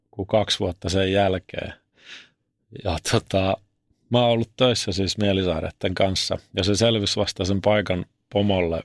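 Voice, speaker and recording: A man speaks at a fairly slow pace in a fairly low pitch with fairly even intonation. The recording is very clean with a silent background and a dry, close sound with no echo. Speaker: former ice hockey player and reality show contestant. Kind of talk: interview about mental health. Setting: studio. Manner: casual colloquial.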